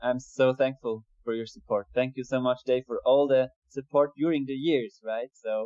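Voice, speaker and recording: A non-native accent with fairly even intonation. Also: man, medium pitch for a man, moderate pace. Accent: foreign accent in English. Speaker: metal band vocalist and guitarist. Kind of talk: interview. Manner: halting.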